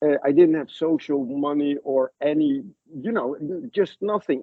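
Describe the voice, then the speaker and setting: A man speaks at a moderate pace with a Dutch accent. His fairly high pitch moves with lively intonation. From Netherlands. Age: 60s. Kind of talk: interview storytelling. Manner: halting; animated.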